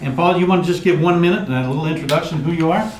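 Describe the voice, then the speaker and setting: A man is speaking, with audible room echo and noticeable background noise around him. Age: 60s. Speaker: mortgage trainer. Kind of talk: training session. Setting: room with live audience, filmed.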